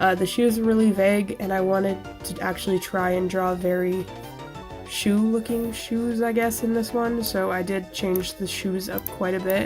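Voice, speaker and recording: Music in the background behind a woman's medium-pitched voice, fairly even in intonation, at a moderate pace. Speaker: artist. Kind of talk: casual voiceover narration for a drawing video.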